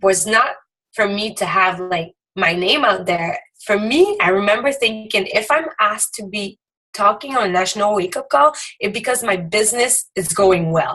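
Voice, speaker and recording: At a moderate pace, the delivery carries lively intonation. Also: woman, medium pitch for a woman. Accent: French Canadian. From Quebec. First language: French. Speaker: direct sales team leader. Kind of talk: motivational talk.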